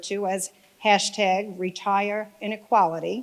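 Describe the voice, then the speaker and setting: A woman speaks at a medium pitch with a New York accent. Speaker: think tank director, speaker. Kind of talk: conference speech.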